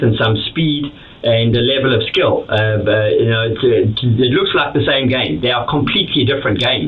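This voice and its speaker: Audible room echo and noticeable background noise color speech delivered at a moderate pace. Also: man. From South Africa. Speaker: immigrant business owner. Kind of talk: interview. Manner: halting, many repeated words.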